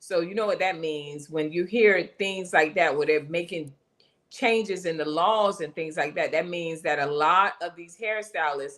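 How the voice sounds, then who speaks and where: A woman with an unremarkable speaking voice talks at a fairly slow pace. Her pitch is fairly low and her intonation fairly even. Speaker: hair coach and live show host. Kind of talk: casual live stream chat. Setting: live stream.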